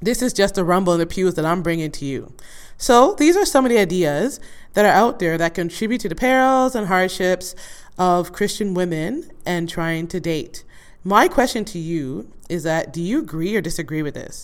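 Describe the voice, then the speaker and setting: A woman has an ordinary speaking voice at medium pitch. She talks at a moderate pace with lively intonation. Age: 40s. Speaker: podcast host. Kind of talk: casual monologue.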